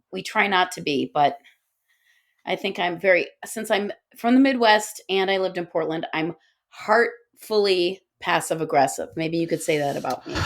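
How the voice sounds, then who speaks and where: A woman with a plain, everyday voice, medium pitch, moderate pace and ordinary pitch variation, on a very clean recording with a silent background. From Guyana, Pakistan and Chicago suburbs. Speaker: author and podcaster. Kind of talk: casual chat.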